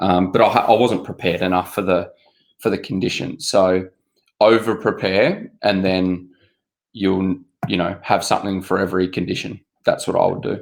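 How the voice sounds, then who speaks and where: On a very clean recording with a silent background, a man with an Australian accent speaks at a moderate pace, his very deep, low pitch carrying fairly even intonation. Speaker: obstacle race athlete. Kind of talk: casual chat.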